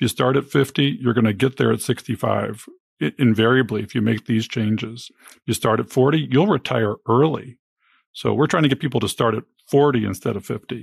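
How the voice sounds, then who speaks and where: The recording is very clean, with a silent background and a dry, close sound with no echo. A man with medium pitch, vocal fry and ordinary pitch variation talks at a fairly quick pace. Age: 50s. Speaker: early retiree. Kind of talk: interview.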